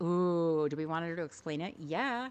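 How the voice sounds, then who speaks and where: A woman is speaking. Her pace is fairly slow. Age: 40s. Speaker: gaming streamer. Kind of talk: casual chat.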